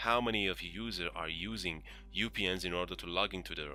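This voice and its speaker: Speaking fairly quickly with a non-native accent, a man uses a very deep, low voice with a bright, sharp tone, vocal fry, and lively intonation. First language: not English. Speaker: IT tutorial presenter. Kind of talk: tutorial. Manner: hesitant, many fillers.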